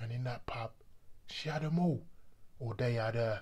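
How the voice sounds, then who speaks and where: A quiet, somewhat breathy man speaks at a fairly slow pace with ordinary pitch variation. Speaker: actor. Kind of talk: dramatic monologue performance. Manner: brooding, confessional storytelling; measured, building quiet menace. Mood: grim, reflective, disgusted. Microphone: phone near.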